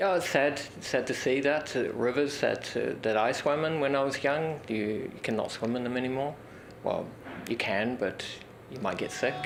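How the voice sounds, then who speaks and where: With a New Zealand accent, a man talks at a moderate pace and a fairly high pitch, showing ordinary pitch variation in a room with audible echo. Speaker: interviewee. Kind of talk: testimony.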